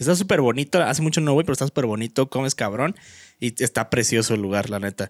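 Very fast speech with lively intonation in a Mexican accent, dry and close with no echo. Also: man, medium pitch for a man, very clean recording, silent background. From Mexico. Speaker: podcast co-host, law student. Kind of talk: casual chat.

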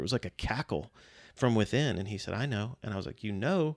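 With an American accent, a man speaks in a normal speaking voice, fairly low in pitch with ordinary pitch variation. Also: very clean recording, silent background. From Virginia. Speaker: pastor. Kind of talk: testimony.

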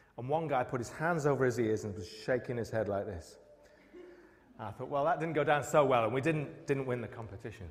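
A man talks at a fairly quick pace and a medium pitch. His pitch varies in an ordinary way, and room echo is audible. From northern England, Newcastle. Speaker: pastor. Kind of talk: sermon. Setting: church.

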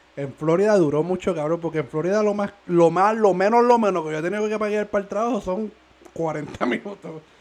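A man with a high voice and ordinary pitch variation talks fairly quickly as noticeable noise fills the background. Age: 20s. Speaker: podcast co-host. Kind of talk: casual chat. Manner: animated.

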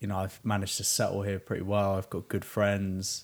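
A man speaks at a fairly quick pace in a fairly low voice with a British accent. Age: 20s. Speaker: podcast host. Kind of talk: casual chat. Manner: laughs often.

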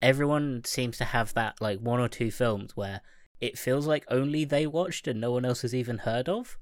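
At a moderate pace and medium pitch, a man talks with ordinary pitch variation in an unremarkable speaking voice. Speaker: podcast co-host. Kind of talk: casual chat.

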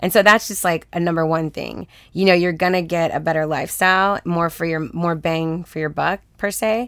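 A woman with an American accent and a normal speaking voice speaks at a moderate pace with hardly any pauses, her fairly low pitch held in fairly even intonation, on a very clean recording with a silent background. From Texas, Houston. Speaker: film producer and women-in-film organization director. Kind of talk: casual interview chat.

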